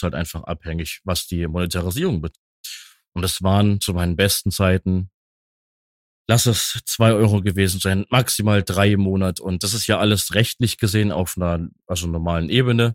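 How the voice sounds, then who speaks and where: This man has a fairly low pitch and ordinary pitch variation, speaking at a moderate pace. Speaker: content creator and streamer. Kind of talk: casual chat.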